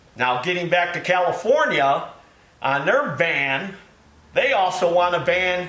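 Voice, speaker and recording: A man's high voice at a fairly slow pace, with audible room echo. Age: 60s. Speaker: small engine repair shop owner. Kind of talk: casual video commentary. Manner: folksy, conversational.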